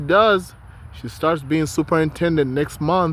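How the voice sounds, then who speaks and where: A man with a non-native accent speaks at a fairly slow pace. His voice is fairly high. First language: not English. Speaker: vlogger. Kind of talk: casual vlog monologue.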